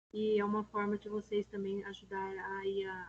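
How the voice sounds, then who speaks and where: Somewhat breathy, a woman speaks at medium pitch in a monotone, flat intonation. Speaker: special education coordinator leading teacher meeting. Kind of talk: online staff meeting presentation. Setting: video call with screen sharing.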